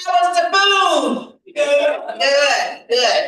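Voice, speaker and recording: A woman's raised, projected voice with a bright, sharp tone and an American accent, ordinary pitch variation, and audible room echo. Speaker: event emcee. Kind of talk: event announcements. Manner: loud.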